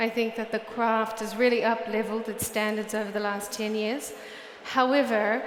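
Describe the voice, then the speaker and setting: Amid noticeable background noise and audible room echo, a woman with a fairly high pitch talks at a moderate pace in a monotone, flat intonation. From New Zealand. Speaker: research director, conference speaker. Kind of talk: conference talk. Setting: stage with audience. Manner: blunt.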